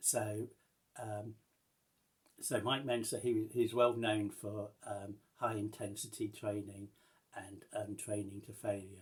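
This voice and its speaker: A man's fairly low, somewhat breathy voice, monotone and flat, at a very slow pace with long, frequent pauses. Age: 60s. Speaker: vlogger. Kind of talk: casual vlog update. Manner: halting, many fillers and restarts.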